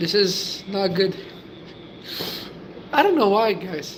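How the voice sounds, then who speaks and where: Words come at a very slow pace. There is noticeable background noise. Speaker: livestreamer chatting with viewers. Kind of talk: casual live stream chat.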